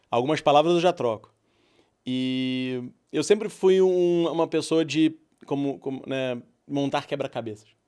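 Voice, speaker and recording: Man's dark, mellow voice at a fairly high pitch, ordinary pitch variation, on a very clean recording with a silent background. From Brazil, Rio de Janeiro. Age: 40s. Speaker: entrepreneur. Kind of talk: podcast interview.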